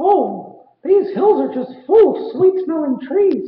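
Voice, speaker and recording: A man uses a put-on character voice at an extremely high pitch. He speaks at a fairly slow pace, with slight echo. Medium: read story. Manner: bright, earnest.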